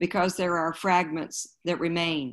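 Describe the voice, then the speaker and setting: A normal speaking voice from a woman with an American accent, fairly low in pitch, with fairly even intonation at a moderate pace over a quiet background. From US South, Wilmington, North Carolina. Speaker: museum curator. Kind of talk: panel conversation. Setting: video call. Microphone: video call.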